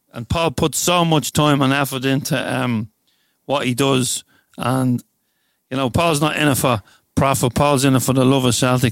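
A man with a plain, everyday voice speaks at medium pitch and a moderate pace, his intonation fairly even. The very clean recording has a silent background and a dry, close sound with no echo. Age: 50s. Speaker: podcast host. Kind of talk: interview.

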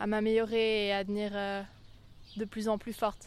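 In a very clean recording with a silent background, a woman speaks fairly slowly at a medium pitch with monotone, flat intonation. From Switzerland, Lake Geneva region. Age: 20s. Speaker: competitive sailor and law student. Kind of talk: interview. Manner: hesitant, many fillers.

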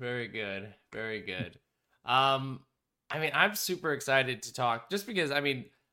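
Animated and bright with a sharp edge, a man's medium-pitched voice moves at a moderate pace. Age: 30s. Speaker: podcast host and game designer. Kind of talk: casual chat.

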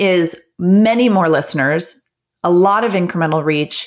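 This woman has an unremarkable speaking voice at a medium pitch. She talks at a fairly slow pace with ordinary pitch variation. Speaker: advertising executive. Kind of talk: interview answers about business.

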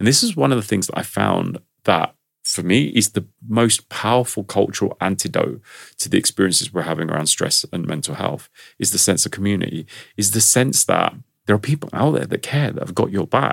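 A man with a London accent talks at a fairly quick pace in a fairly low pitch. The sound is dry and close, with no echo. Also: lively intonation. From London, England. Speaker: stress management expert. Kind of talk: interview.

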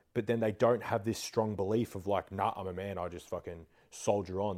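Here a man speaks fairly quickly, his dark, mellow voice fairly low with fairly even intonation. The recording is very clean, with a silent background. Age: 20s. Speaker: gym owner and online coach. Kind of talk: casual chat.

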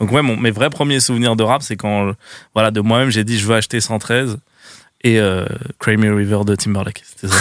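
On a very clean recording with a silent background, a man speaks at a moderate pace in a fairly low pitch with fairly even intonation and long, frequent pauses. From Seine-Saint-Denis, Paris suburbs, France. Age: 20s. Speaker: online video creator. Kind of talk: casual chat.

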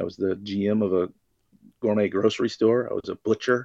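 A man with an American accent at a very fast pace, the sound dry and close with no echo. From US South, Florida Panhandle. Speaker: bartender. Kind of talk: casual chat.

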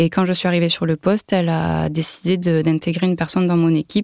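A woman speaks very fast in a fairly low, flat monotone, recorded dry and close with no echo. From southern France, Toulouse area. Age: 30s. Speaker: food industry engineer and former team manager. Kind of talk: personal testimony interview. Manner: hesitant, with fillers.

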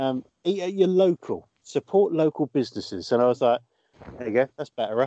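A man speaks with a British accent at a moderate pace. His pitch is fairly high for a man, and his intonation is lively. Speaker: podcast host and comedian. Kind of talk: casual comedy chat.

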